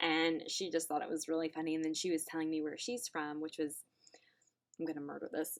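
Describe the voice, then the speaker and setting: A woman's very deep, low voice with a Southern US accent, a fairly quick pace and fairly even intonation. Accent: southern twang. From US South. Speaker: online English teacher. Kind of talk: casual chat. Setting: home classroom.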